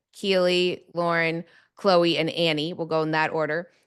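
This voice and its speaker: A woman with a plain, everyday voice speaks at fairly low pitch and a moderate pace over a quiet background. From Toronto, Canada. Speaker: TV host and reporter. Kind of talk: panel moderation.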